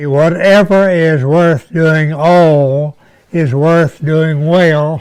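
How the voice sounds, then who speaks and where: A man at a fairly high pitch, very slow pace and fairly even intonation. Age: 80s+. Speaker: war veteran. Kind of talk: interview answer.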